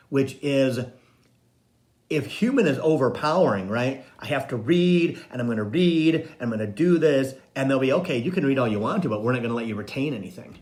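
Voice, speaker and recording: Audible room echo surrounds a man who speaks at medium pitch and a moderate pace with lively intonation. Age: 60s. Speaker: psychic medium and spiritual coach. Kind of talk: casual live-stream monologue.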